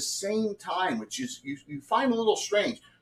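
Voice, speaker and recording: With a South Jersey accent, a man speaks fairly slowly in a high voice, his pitch swinging very widely. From South Jersey, US. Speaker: game master. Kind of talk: tabletop game narration. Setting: livestream.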